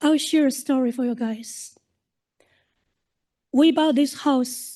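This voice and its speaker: Speaking very slowly, a woman uses a high pitch with a dark, mellow tone and fairly even intonation. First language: not English. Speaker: local resident speaking at council. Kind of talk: public comment at council meeting. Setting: city council meeting.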